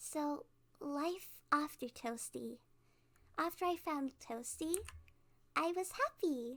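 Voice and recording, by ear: In a put-on character voice, a woman talks slowly at a high pitch with ordinary pitch variation and a fairly bright tone, recorded very cleanly over a silent background.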